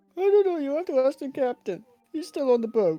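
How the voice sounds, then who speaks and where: A high, female-sounding voice is put on as a character voice. It moves at a fairly quick pace. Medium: actual play. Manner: panicky, babbling.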